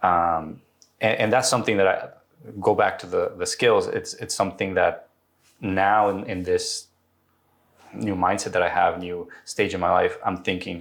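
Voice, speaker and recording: This man speaks at a moderate pace. He leaves long, frequent pauses. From Mexico, raised in Canada from young age. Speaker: podcast host. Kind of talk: casual interview chat. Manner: halting, many repetitions.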